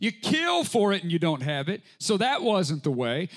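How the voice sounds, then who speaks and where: His pitch swings very widely. The man talks at a fairly slow pace. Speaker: preacher. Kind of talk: sermon. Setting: church with live congregation. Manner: fervent, impassioned preaching.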